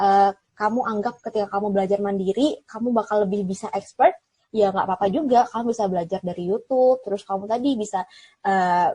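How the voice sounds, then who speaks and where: A woman speaks at a very fast pace, somewhat breathy and shrill yet with a dark, mellow tone. Her pitch variation is ordinary. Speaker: TV presenter and alumna. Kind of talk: interview. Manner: casual, chatty.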